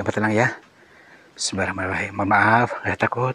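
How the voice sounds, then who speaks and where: A man's fairly low voice, soothing in tone and flat, monotone in intonation, over noticeable background noise. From Central Java, Indonesia (Cilacap). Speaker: ruqyah practitioner / spiritual healer. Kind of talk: staged ruqyah session and interview. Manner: hesitant, many fillers; soothing, calming.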